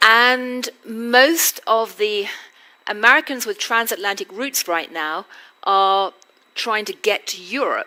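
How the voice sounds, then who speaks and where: Speaking very slowly with lively intonation, a woman with a British accent uses a fairly high pitch. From Britain. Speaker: journalist and interviewer. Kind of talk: onstage interview. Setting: stage with audience.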